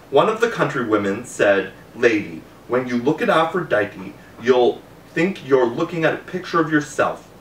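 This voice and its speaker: A man's fairly high voice with very wide pitch swings, moderate pace, light background noise and audible room echo. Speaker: reader of a classical novel. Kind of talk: audiobook reading aloud of an ancient Greek novel. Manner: measured, narrative storytelling pace with formal tone. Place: home room.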